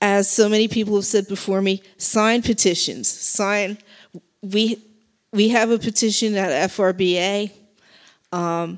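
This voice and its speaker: A woman at a very slow pace, with long, frequent pauses, fairly even intonation and a quiet background. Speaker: speaker. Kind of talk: public speech. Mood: earnest, urgent. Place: hall. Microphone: handheld.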